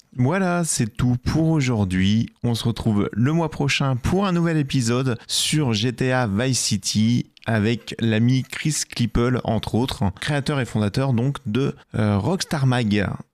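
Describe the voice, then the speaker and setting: A man speaks at a very slow pace with hardly any pauses, in a medium pitch with lively intonation and very even loudness. The recording is very clean, dry and close with no echo, over a silent background. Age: 40s. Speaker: podcast host. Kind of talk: casual chat.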